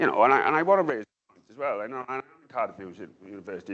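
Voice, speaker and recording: A man with a South Wales accent talks at a very fast pace in an animated tone, his medium-pitched voice rising and falling with lively intonation. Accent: Valleys. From South Wales Valleys. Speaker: academic researcher and author. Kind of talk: panel discussion. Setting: book launch event with audience. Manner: animated, repetitive.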